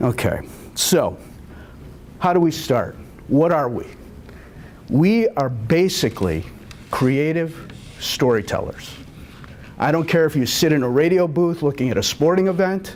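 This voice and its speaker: The speech has long, frequent pauses. Room echo is audible. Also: man, fairly high pitch for a man, ordinary pitch variation. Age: 60s. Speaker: TV cinematographer and producer giving a talk. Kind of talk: lecture.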